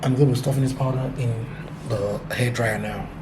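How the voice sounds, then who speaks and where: A man's medium-pitched voice comes through in a flat monotone, with audible room echo and noticeable background noise. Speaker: family vlogger. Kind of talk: casual vlog.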